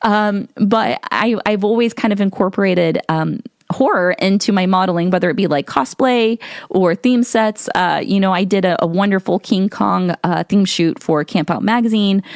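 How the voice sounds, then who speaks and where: A woman speaks with a US Midwestern accent at medium pitch and a moderate pace. Her pitch varies in an ordinary way, and the sound is dry and close with no echo. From Ohio, US Midwest. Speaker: podcast host and model. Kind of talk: casual podcast monologue. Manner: halting, many repeated words; audible mouth breathing.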